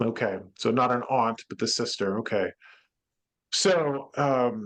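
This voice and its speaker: A man speaks at a very slow pace. His pitch sits at a medium level with ordinary variation. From northern New England. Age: 40s. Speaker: psychic medium. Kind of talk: online medium reading session. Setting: online video event.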